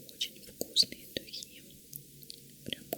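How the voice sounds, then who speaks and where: Very slow whispering from a woman amid noticeable background noise. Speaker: ASMR creator. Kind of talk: ASMR unboxing. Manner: close, sticky whisper.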